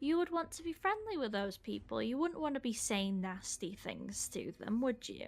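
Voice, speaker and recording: Speaking with a British accent at a moderate pace, the woman leaves hardly any pauses. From Britain. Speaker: streamer hosting call-ins. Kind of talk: casual advice chat on a call.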